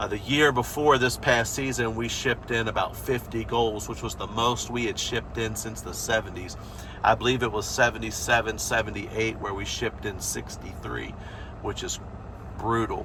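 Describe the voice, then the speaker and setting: This man has an American accent and a medium pitch. He talks at a moderate pace with fairly even intonation over noticeable background noise. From USA. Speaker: football fan channel host. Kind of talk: opinion vlog, season review. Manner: casual, many fillers.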